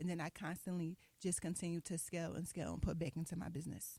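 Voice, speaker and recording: A woman with an American accent talks at a very fast pace in a fairly low pitch, her dark, mellow tone carrying vocal fry and a monotone, flat intonation. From West Philadelphia. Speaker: fashion designer and business owner. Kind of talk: interview.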